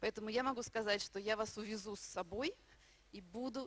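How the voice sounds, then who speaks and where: A woman's fairly high voice, dry sound with no echo. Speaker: minister. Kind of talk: sermon. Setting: church. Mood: warm, heartfelt. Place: hall. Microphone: handheld.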